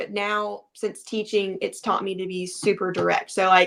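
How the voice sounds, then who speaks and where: At a moderate pace, a woman talks with a Southern US accent. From US South, Alabama. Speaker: teacher and fitness coach. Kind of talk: casual chat.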